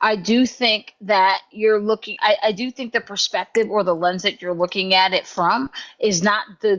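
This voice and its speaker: A loud woman's voice at medium pitch, moving at a moderate pace. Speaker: chat room moderator. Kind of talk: heated debate.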